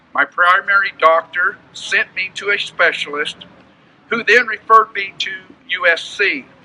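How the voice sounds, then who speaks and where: Raising and projecting his voice, an American man speaks at a high pitch and a fairly slow pace, with ordinary pitch variation. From California (Bakersfield). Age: 60s. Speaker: farmer. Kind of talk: prepared statement, testimony. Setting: press conference. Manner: formal.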